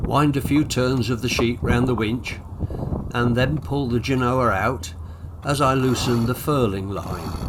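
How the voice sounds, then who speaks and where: Medium pitch from a man, ordinary pitch variation, noticeable background noise and audible echo from the room. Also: fairly slow pace. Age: 80s+. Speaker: sailing vlogger. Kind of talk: casual narration. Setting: outdoors on a sailboat.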